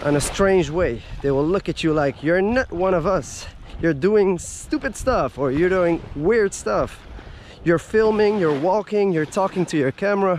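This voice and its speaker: The pace is fairly slow, with lively intonation. Light background noise sits under a dry sound with no echo. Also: man, high pitch for a man. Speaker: travel vlogger. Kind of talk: casual vlog chat. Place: beach. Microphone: phone near.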